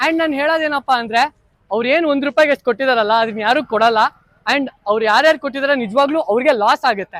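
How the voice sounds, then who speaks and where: A man talks with an extremely high pitch. The sound is dry and close, with no echo. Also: ordinary pitch variation. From Karnataka, Mandya district (Nagamangala taluk). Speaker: YouTube vlogger. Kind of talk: casual vlog chat with vendors. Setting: outdoors at a village market. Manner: animated.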